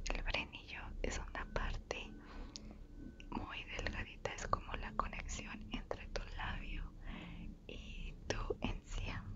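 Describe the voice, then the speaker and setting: A soft-spoken woman whispers. Loud background noise surrounds her voice. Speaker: ASMR creator. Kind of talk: soft-spoken storytime chat. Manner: soft close-mic ASMR whisper. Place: home room. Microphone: lapel.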